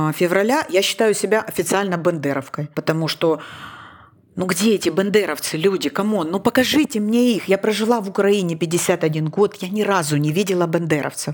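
The speaker goes at a moderate pace with ordinary pitch variation, over noticeable background noise. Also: woman, medium pitch for a woman. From Ukraine, Donetsk. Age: 50s. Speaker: podcast host. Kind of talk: casual chat.

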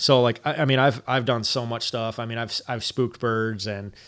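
A man speaks at a fairly quick pace in an ordinary speaking voice, his pitch medium and his intonation fairly even. The recording is very clean, with a silent background. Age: 30s. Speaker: hunter, outdoor apparel business owner and firefighter. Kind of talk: casual chat.

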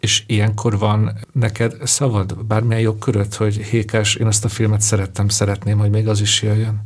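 A man's fairly low, monotone, flat voice at a moderate pace, with hardly any pauses, very even loudness and noticeable background noise. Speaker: podcast host, journalist. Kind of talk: interview conversation.

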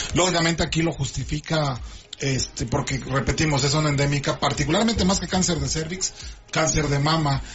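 With noticeable background noise, a man speaks at a fairly quick pace and fairly high pitch, his loudness very even and his pitch variation ordinary. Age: 30s. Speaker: radio health show host and doctor. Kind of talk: radio talk show. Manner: halting.

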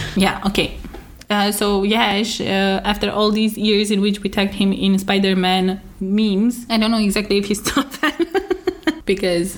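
Woman with an ordinary speaking voice, medium pitch and a moderate pace. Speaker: podcast host. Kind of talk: casual chat.

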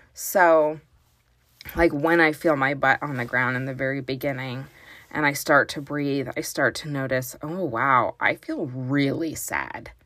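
A woman's very deep, low pitch with a bright, sharp tone and fairly even intonation at a fairly slow pace, on a very clean recording with a silent background. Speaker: parenting coach and podcast host. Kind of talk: guided meditation. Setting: closet at home. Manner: calm, slow, soothing.

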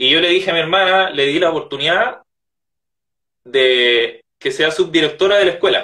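A man's high voice at a moderate pace, with ordinary pitch variation and very even loudness. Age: 20s. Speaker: author. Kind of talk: interview.

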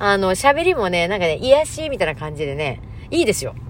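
Very wide pitch swings from a woman at a moderate pace. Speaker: mental health counselor and MC. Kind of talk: casual monologue.

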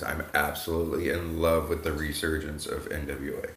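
This man's voice sits at a very deep, low pitch. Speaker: wrestling podcast co-host. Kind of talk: casual chat.

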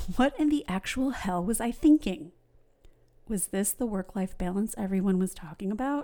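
Dark, mellow tone with lively intonation. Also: woman, medium pitch for a woman, moderate pace. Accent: American. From New York. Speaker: podcast host and realtor. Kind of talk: scripted monologue.

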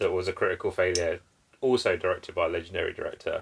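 A man speaks with a British accent. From UK. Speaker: podcast host. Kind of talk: casual chat.

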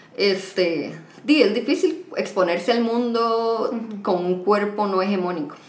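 Speaking with a Costa Rican accent at a fairly slow pace with lively intonation, the voice comes through audible room echo and noticeable background noise. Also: woman, medium pitch for a woman. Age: 20s. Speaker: podcast guest, HR worker and psychology student. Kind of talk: casual chat.

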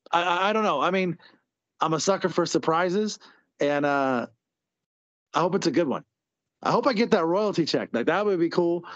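A man's high-pitched voice at a moderate pace, with ordinary pitch variation, long and frequent pauses, and a quiet background. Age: 30s. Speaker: lingerie fighting team coach. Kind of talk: casual chat.

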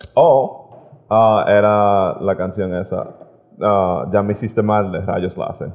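Very slowly, a man speaks in a fairly low voice with fairly even intonation. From United States. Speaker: podcast guest. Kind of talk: casual chat. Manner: halting.

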